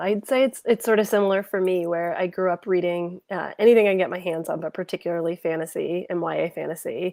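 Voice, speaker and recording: A woman's ordinary speaking voice with an American accent, medium in pitch with ordinary pitch variation, at a fairly quick pace, in a dry, close sound with no echo. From New York. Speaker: debut fantasy author. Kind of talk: panel discussion.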